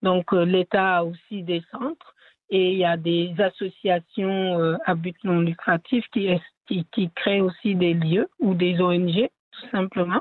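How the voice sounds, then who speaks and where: A woman's medium-pitched voice at a very slow pace, with fairly even intonation. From Senegal. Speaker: theatre artist and cultural entrepreneur. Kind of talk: interview. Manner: halting.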